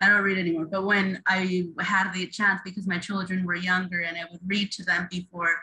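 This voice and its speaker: A woman speaks in a Spanish accent. Her pitch is fairly low and her pace moderate. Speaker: community organizer and parent. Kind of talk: panel discussion. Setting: video call.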